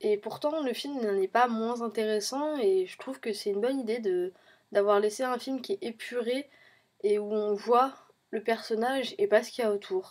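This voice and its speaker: The recording is very clean, and the background is silent. At a moderate pace, a woman talks with a fairly high pitch and ordinary pitch variation. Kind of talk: film review talk to camera. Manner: hesitant, many fillers.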